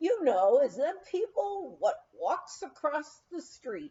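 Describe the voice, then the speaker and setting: Doing a put-on character voice, a woman speaks at a high pitch with very wide pitch swings. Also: fairly slow pace. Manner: condescending.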